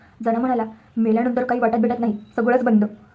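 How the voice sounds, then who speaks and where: A woman speaks with a high pitch. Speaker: storyteller. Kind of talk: reading aloud.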